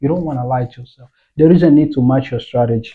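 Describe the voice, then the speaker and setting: Somewhat breathy and fairly high for a man, this non-native accented voice shows ordinary pitch variation. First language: not English. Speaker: forex trading educator. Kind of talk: tutorial. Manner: casual, halting.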